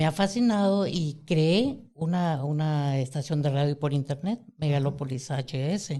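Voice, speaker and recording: A man with a dark, mellow tone and a somewhat breathy voice speaks at a fairly high pitch and fairly slow pace, with hardly any pauses, very even loudness and ordinary pitch variation. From Mexico City. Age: 60s. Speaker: podcast host. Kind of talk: casual chat.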